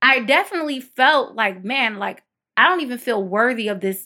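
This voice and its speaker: Lively intonation and a bright, sharp tone come through at a moderate pace on a very clean recording with a silent background. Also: woman. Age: 30s. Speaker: reporter and mother. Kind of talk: interview testimony.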